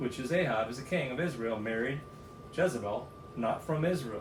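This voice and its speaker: Amid noticeable background noise and audible room echo, a man talks at a fairly quick pace with medium pitch and ordinary pitch variation. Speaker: Bible study podcast co-host. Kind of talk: casual chat. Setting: studio. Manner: fast; animated.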